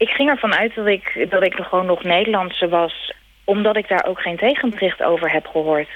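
At a moderate pace, a woman talks in an ordinary speaking voice. Her pitch is medium, with ordinary variation. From Netherlands, Rotterdam. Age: 30s. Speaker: emigrant. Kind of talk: interview. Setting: phone call.

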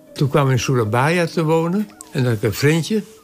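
Fairly quick, lively-toned speech over noticeable background noise. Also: man. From Texel, Netherlands. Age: 80s+. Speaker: astronomer. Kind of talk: interview storytelling. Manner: animated.

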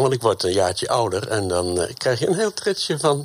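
Noticeable background noise is present. The speaker's intonation is lively. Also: man. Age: old. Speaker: retired teacher. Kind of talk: live debate. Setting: radio bus on location.

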